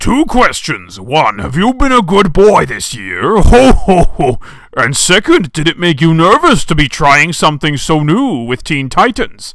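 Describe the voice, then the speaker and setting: Doing a put-on character voice, a man speaks high for a man at a moderate pace, his pitch swinging very widely. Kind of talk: evil-tinged Santa voice.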